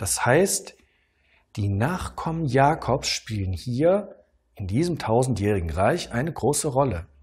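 The man sounds somewhat breathy and calm, with very wide swings in pitch. His pace is very slow. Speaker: pastor. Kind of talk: sermon. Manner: calm, didactic, measured; rhetorical questions, earnest teaching tone. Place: studio. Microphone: lapel.

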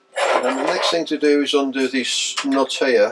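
Heavy background noise fills the clip. Through it, a man talks. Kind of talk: tutorial. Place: workshop.

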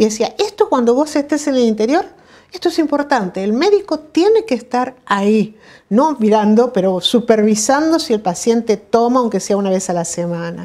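Against a quiet background, a woman with a dark, mellow tone and a fairly high pitch speaks at a moderate pace, her pitch swinging very widely. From Buenos Aires province, Argentina. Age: 60s. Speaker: retired physician. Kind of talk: oral history interview. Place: home room.

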